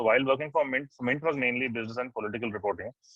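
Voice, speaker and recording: At a very fast pace, a man with an Indian accent talks in a medium-pitched voice. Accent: Indian English with Hindi code-switching. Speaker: journalist and oral historian. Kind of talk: interview answer.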